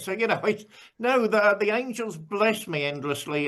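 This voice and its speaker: In an English accent, a man talks at a fairly quick pace. His pitch swings very widely. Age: 60s. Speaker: pastor. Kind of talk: casual chat. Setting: video call.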